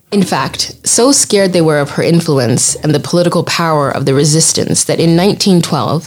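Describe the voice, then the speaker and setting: Moderately paced speech from a woman with a very deep, low pitch and ordinary pitch variation, amid noticeable background noise. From southwest Uganda. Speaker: guest narrator. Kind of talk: storytelling narration. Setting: studio.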